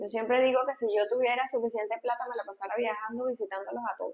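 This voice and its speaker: Talking very fast, a woman with a high voice keeps her intonation fairly even. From Venezuela, Valencia. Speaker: pediatrician. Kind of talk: interview conversation.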